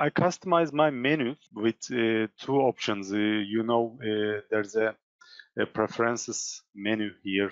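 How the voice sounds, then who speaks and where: Very slowly and with a Turkish accent, a man speaks at a medium pitch with ordinary pitch variation. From Turkey. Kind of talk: software tutorial. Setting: live online session. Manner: halting, many fillers.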